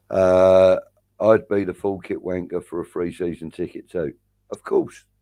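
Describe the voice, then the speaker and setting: With a London accent, the voice comes through with a dry, close sound, no echo, and a quiet background. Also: man. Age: 50s. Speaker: livestream host and football fan. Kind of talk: casual chat.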